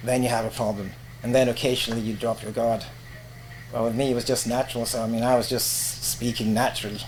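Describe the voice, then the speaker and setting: The speech rushes by at a very fast pace in a monotone, flat delivery over noticeable background noise. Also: man, medium pitch for a man. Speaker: veteran radio presenter and voiceover artist. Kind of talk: casual interview. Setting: podcast interview. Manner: professional.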